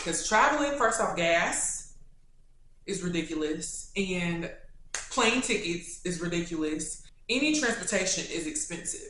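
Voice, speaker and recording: In a strong Kentucky accent, a woman with a fairly low pitch speaks at a moderate pace with lively intonation and an animated tone, with audible room echo. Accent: thick Kentucky. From Kentucky, Louisville. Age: 20s. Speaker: YouTuber. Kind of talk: casual Q&A.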